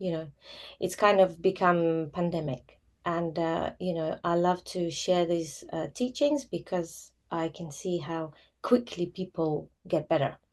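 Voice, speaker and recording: Very slow speech from a woman with a Russian accent, fairly low-pitched, against a quiet background. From former Soviet Union, Russian-speaking. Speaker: yoga teacher. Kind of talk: live online class talk. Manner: hesitant, many fillers.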